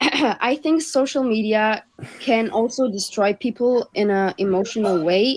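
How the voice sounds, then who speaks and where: A woman with a German accent, fairly high in pitch, at a fairly slow pace with ordinary pitch variation and very even loudness. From Germany. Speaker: podcast panelist. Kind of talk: casual discussion.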